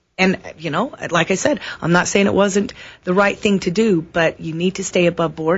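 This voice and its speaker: This woman's voice sits at a medium pitch. It sounds somewhat breathy. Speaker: city council candidate. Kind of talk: radio interview. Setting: radio studio. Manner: fast.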